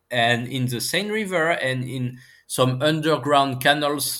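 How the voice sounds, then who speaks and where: A man with a French accent speaks at a fairly slow pace with ordinary pitch variation. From France. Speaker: physicist and marine scientist, author. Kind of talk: casual interview. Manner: laughs often.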